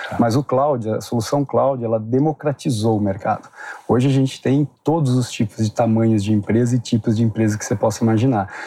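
A man's medium-pitched voice at a fairly quick pace, fairly even in intonation, dry and close with no echo, over noticeable background noise. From Brazil, Curitiba. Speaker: tech company executive. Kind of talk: interview. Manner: halting, many fillers.

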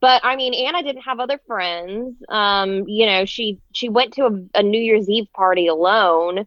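A woman speaks in a normal speaking voice, fairly high in pitch, with ordinary pitch variation. Her pace is fairly slow, with hardly any pauses. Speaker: podcast owner and co-host. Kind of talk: casual chat.

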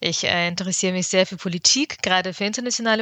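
A woman talks at a very fast pace with a medium pitch. Her tone is bright and sharp, and her intonation stays fairly even. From Ukraine, then Bavaria (Augsburg area) from age 11. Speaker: consultant and social entrepreneur. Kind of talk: podcast interview. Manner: hesitant fillers (ähm, äh).

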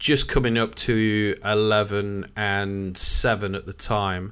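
A man with an East Midlands accent, his pitch fairly low and his intonation fairly even, on a very clean recording with a silent background. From Nottingham, England. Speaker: executive coach. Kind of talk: casual interview.

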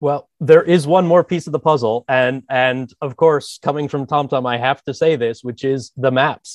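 In an American accent, a man with an unremarkable speaking voice talks at a moderate pace and fairly high pitch, his intonation fairly even and hardly any pauses, in a dry, close sound with no echo. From US, Philadelphia area. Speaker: user experience designer. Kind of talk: interview.

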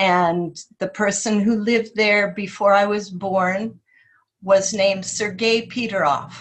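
Somewhat breathy and of medium pitch, a woman speaks fairly slowly with fairly even intonation. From Alaska, Kenai. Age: 60s. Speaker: retired local resident, artist. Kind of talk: casual chat.

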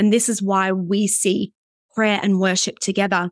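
With an Australian accent, a woman of medium pitch speaks at a moderate pace in a very clean recording, with a silent background and a dry, close sound with no echo. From Australia, Brisbane. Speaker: pastor and worship leader. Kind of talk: casual interview.

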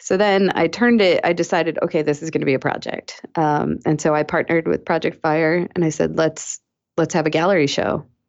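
An ordinary speaking voice from a woman with an American accent, fairly low in pitch, with fairly even intonation and a fairly quick pace. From Massachusetts, South Shore (Weymouth). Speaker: fiber artist and activist. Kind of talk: casual interview.

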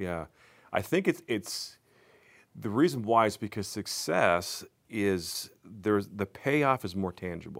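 An unremarkable speaking voice moves at a fairly slow pace with lively intonation. The recording is very clean, with a silent background. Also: man, fairly low pitch for a man. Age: 40s. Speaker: youth pastor. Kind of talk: casual chat. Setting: studio.

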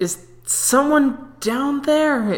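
Sounding female, this put-on character voice is pitched high.

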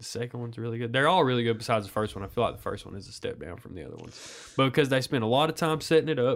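A man at a very fast pace with hardly any pauses and big swings in loudness. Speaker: podcast co-host. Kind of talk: casual chat.

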